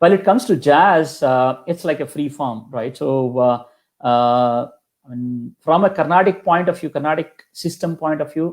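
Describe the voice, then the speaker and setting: A man speaks with a Kannada accent. His pitch sits fairly high. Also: ordinary pitch variation, moderate pace, very clean recording, silent background. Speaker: kanjira percussionist. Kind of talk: interview. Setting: live stream interview.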